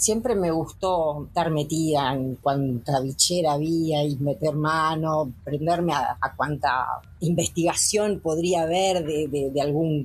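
A woman with a very deep, low pitch and a somewhat breathy voice speaks at a fairly slow pace with ordinary pitch variation. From Uruguay, Colonia department countryside. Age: 40s. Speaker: veterinarian and cattle breeder. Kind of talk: interview testimony.

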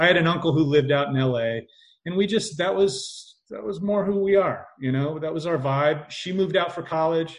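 This speaker moves at a moderate pace with a Midwestern American accent. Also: man, high pitch for a man, ordinary pitch variation. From US, Indiana. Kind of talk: casual chat.

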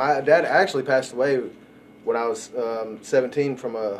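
A man's medium-pitched voice with a Texan accent and fairly even intonation. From West Texas, Odessa. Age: 30s. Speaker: recovering addict. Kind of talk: recovery testimony.

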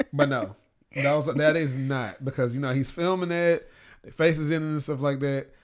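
In an unremarkable speaking voice, a man speaks at a moderate pace and fairly high pitch, his intonation fairly even but his loudness swinging widely, on a very clean recording with a silent background. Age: 30s. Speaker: blogger and radio host. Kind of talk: casual chat.

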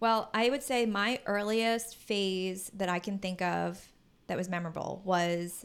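Speaking with an American accent, a woman uses a normal speaking voice at a medium pitch with fairly even intonation, on a very clean recording with a silent background. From Philadelphia suburbs, Pennsylvania. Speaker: podcast co-host. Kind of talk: casual chat. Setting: home recording with fan running.

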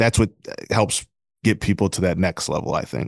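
A man speaks fairly quickly in a fairly low voice with an American accent, a normal speaking voice. The sound is dry and close with no echo, over a quiet background. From Flint, Michigan. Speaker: sports beat writer. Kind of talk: casual interview.

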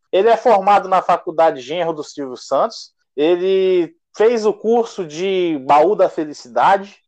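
A high-pitched man speaking at a fairly slow pace against a quiet background. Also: ordinary pitch variation. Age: 20s. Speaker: podcast co-host. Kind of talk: casual chat.

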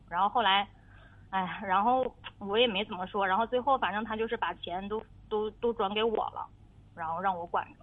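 This woman's voice sits at a fairly high pitch. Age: 30s. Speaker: radio caller with marriage problem. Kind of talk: advice call-in conversation. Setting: phone call. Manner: halting, many fillers.

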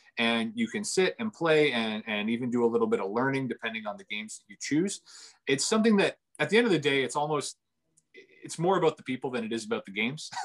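A man with a Canadian accent talks at a very fast pace in a fairly high pitch, his pitch swinging very widely and his loudness shifting a lot, recorded dry and close with no echo. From Ontario, Canada. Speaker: cafe owner. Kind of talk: interview. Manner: hesitant, many fillers.

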